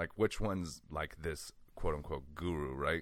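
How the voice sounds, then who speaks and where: A man's very deep, low voice, with ordinary pitch variation and a moderate pace, comes through a very clean recording with a silent background. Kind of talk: casual interview chat.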